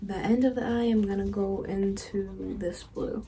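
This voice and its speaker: A woman talks at a medium pitch while music plays behind her. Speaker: makeup artist and beauty youtuber. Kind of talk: makeup tutorial. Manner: casual, filler-heavy.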